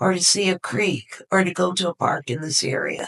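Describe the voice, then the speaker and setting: A woman with an ordinary speaking voice and a fairly low pitch talks at a moderate pace, in a dry, close sound with no echo. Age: 60s. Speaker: retired forester and youth mentor. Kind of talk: interview.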